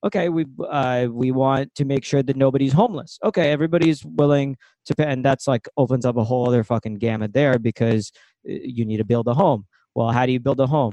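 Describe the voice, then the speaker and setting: Dry and close with no echo, a man talks at a very fast pace with very even loudness and ordinary pitch variation. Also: medium pitch for a man. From Ukraine. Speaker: comedian and sketch writer. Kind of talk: casual chat.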